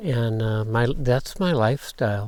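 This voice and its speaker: Speaking at a very slow pace with an Upper Midwest accent, a man has a medium pitch and a dark, mellow tone. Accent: Upper Midwest American. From Minnesota North Shore. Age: 70s. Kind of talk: interview answer. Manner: casual, hesitant.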